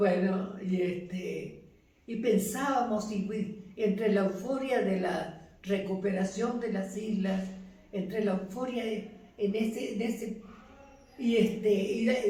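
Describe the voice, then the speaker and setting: With noticeable background noise behind her, a woman talks very slowly at a medium pitch, her intonation fairly even. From Buenos Aires. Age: 80s+. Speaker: retired teacher, mother of fallen naval officer. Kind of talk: interview answer.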